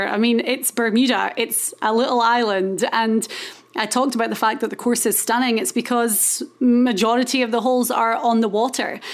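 A woman's fairly high voice in a Scottish accent. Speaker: golf podcast host. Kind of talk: casual chat.

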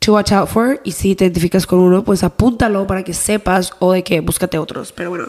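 Over noticeable background noise, a woman speaks at a fairly quick pace with hardly any pauses, using a medium pitch and ordinary pitch variation. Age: 20s. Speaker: podcast co-host. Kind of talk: casual chat.

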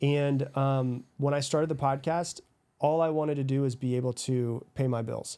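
This man's voice is fairly high in pitch, with a dark, mellow tone and monotone, flat intonation. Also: moderate pace. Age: 30s. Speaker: podcast host and author. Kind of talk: interview conversation. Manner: casual, filler-heavy.

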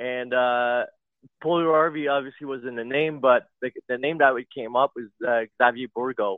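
A man talks in an unremarkable speaking voice at medium pitch. His pace is moderate and his intonation fairly even. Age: 30s. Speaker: caller, navy base worker. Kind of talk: phone-in call.

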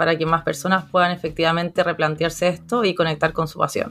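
A woman talks at a fairly quick pace in a fairly low pitch. She has a plain, everyday voice. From Chile. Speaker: psychologist and career coach. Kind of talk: interview.

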